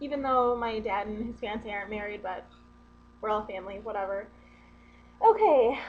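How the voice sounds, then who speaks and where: With a northern US accent, a woman at a fairly high pitch talks at a moderate pace, leaving long, frequent pauses, her loudness swinging widely amid audible room echo. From US Midwest, central Wisconsin. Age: 20s. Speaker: vlogger. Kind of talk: casual vlog. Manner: casual, rambling with fillers.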